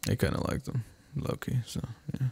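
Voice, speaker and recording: This is a man's voice. His pitch is medium. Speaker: gamer. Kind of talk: casual talk to camera. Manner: sarcastic, crude, comedic.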